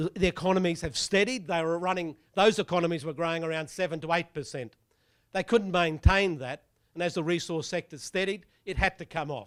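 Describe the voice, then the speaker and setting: In a very clean recording with a silent background, a man with an Australian accent talks fairly quickly at a high pitch with ordinary pitch variation. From Australia (Brisbane). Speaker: property economist. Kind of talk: presentation talk.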